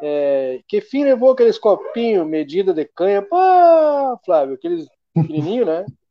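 A man talks at a fairly slow pace in a high pitch. His pitch swings very widely. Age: 40s. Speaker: local news show host. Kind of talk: casual news chat livestream. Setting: studio livestream on Facebook.

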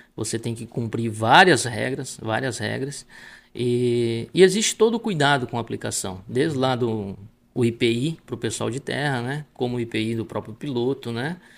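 This man has a normal speaking voice at a medium pitch, with ordinary pitch variation and a moderate pace, in a very clean recording with a silent background. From Rio Grande do Sul, Brazil (Palmares do Sul). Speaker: agricultural pilot. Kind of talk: casual interview.

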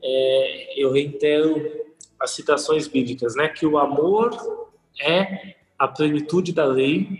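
Speaking very slowly, a man keeps his loudness very even, his pitch fairly high with ordinary variation. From Brazil, São Paulo city. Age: 20s. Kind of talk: casual podcast interview.

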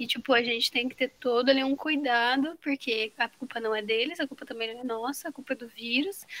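High-pitched woman with a bright, sharp tone, fairly even intonation and big swings in loudness, talking at a fairly quick pace with hardly any pauses. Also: dry, close sound with no echo. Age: 20s. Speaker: photographer. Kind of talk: casual chat.

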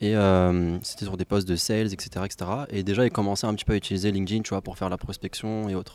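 On a very clean recording with a silent background, a man talks at a very fast pace with hardly any pauses, in a monotone, flat delivery at a fairly low pitch. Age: 20s. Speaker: salesperson. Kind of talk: casual chat.

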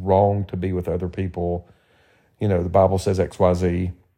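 A man with a Southern US accent and a dark, mellow tone, at a fairly slow pace against a quiet background. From Tennessee. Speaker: podcast co-host. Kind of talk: casual chat.

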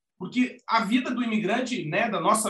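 A man's high-pitched voice, bright and sharp in tone, with fairly even intonation. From Brazil, Rio Grande do Sul (Alegrete). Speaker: advertising professional, emigration website co-founder. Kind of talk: casual interview.

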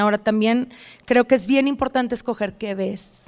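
A woman speaks at a high pitch with ordinary variation. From northern Mexico border, Reynosa. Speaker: wellness influencer. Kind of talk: casual interview chat. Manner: halting with many fillers.

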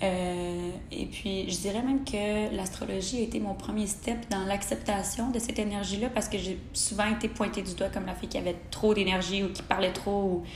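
A woman with fairly even intonation and hardly any pauses, amid noticeable background noise and audible room echo. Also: medium pitch for a woman, moderate pace. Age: 20s. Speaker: podcast host, human design enthusiast. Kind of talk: casual monologue.

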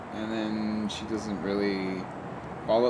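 Both noticeable background noise and audible room echo surround a man as he speaks. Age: 30s. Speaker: podcast host. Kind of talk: casual chat. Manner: stutters more lately.

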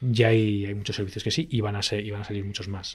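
On a very clean recording with a silent background, a man talks at a very fast pace, somewhat breathy. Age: 40s. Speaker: tech entrepreneur and CEO. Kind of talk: interview.

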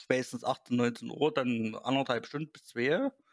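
A man talks at a fairly slow pace in a plain, everyday voice. His pitch is medium and his intonation fairly even. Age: 30s. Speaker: gaming website host. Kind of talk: casual chat.

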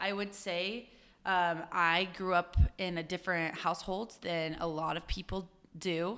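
Loud and bright, sharp in tone, a woman with a Utah accent speaks at a fairly low pitch with fairly even intonation. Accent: Utah American. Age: 20s. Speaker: professional dancer. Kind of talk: interview conversation. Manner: loud, outgoing.

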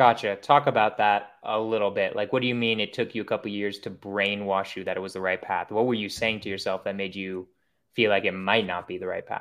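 A fairly quick-paced man with a fairly low pitch. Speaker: podcast host. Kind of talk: casual interview chat. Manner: energetic, hyped.

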